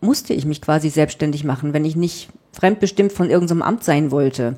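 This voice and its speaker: In a northern German accent, a woman with a very deep, low pitch and a dark, mellow tone talks at a fairly quick pace with ordinary pitch variation. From southwest Germany (Freiburg), northern German family. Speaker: journalist and author. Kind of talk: interview.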